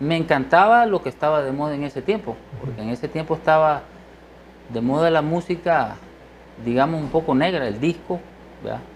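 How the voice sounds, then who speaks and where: Speaking at a fairly quick pace, a man uses a plain, everyday voice, fairly high in pitch with ordinary pitch variation. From eastern El Salvador. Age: 50s. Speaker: musician and doctor. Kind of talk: interview.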